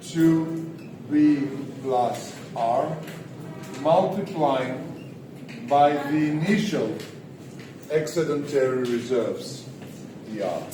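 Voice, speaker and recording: With music in the background and audible room echo, a man speaks at a very slow pace in a fairly high pitch, leaving long, frequent pauses. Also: ordinary pitch variation. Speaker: economics lecturer. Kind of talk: lecture. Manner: loud. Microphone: no microphone.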